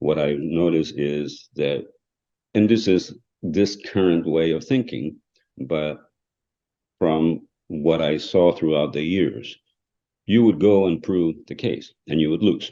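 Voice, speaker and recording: Speaking very slowly with long, frequent pauses, a man with a non-native accent has a very deep, low pitch, a dark, mellow tone, and ordinary pitch variation. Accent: foreign. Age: 60s. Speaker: trial lawyer. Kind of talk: podcast interview. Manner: halting.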